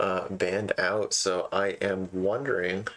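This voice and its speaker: There is music in the background as a man talks very slowly. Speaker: esports caster. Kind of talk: live commentary.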